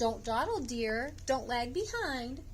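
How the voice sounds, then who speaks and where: A woman uses a put-on character voice pitched high, speaking at a fairly slow pace. Clear background noise is audible. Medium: read story.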